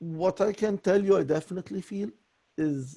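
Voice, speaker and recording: A man speaks with a dark, mellow, somewhat breathy tone and ordinary pitch variation. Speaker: voice coaching student. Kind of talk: voice lesson conversation.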